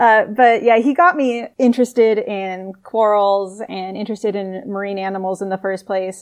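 A woman with an ordinary speaking voice and an American accent, at a medium pitch with ordinary pitch variation, a moderate pace, hardly any pauses, and a quiet background. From US Southwest. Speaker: marine biologist. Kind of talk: casual chat.

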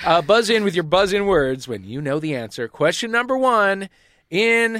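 A man with an American accent and very wide pitch swings, on a very clean recording with a silent background and a dry, close sound with no echo. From United States. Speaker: comedy panel show host. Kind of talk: comedy panel show. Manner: animated.

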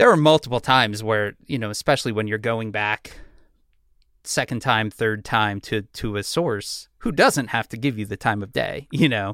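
A normal speaking voice from a man with an American accent, medium pitch, ordinary pitch variation and a moderate pace. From Chicago. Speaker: journalist. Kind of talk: casual chat. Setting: video call.

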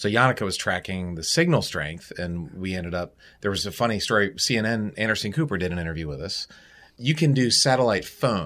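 On a very clean recording with a silent background, a man with an unremarkable speaking voice talks at a fairly quick pace, with a fairly low pitch and lively intonation. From Baltimore, US. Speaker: astronaut. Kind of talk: interview.

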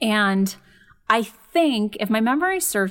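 A woman's medium-pitched voice with a Californian accent and ordinary pitch variation. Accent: Californian American. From Los Angeles suburbs, California. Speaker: psychologist and podcast host. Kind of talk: casual chat.

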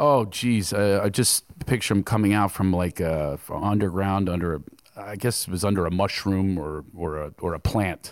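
A man talks in a plain, everyday voice at a moderate pace. His pitch is fairly low, with ordinary pitch variation. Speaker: comedian. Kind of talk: comedic interview on stage. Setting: stage with audience.

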